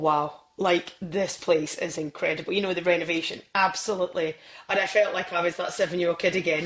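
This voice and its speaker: A woman with a Scottish accent talks at a fairly quick pace with hardly any pauses. Her pitch is fairly low and her intonation fairly even. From Scotland. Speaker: football presenter. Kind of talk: podcast interview. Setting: podcast.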